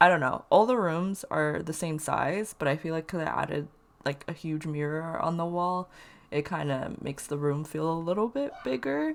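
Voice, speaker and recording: Music plays behind a woman with a very deep, low pitch. She speaks at a moderate pace with ordinary pitch variation. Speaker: Sims speed build commentator. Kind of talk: casual voice-over commentary. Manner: casual, many filler words.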